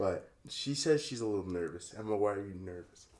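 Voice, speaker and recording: The tone is dark and mellow. Intonation is lively at a moderate pace. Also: man. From Calgary, Canada. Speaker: podcast host. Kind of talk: casual chat. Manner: animated. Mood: warm, affectionate.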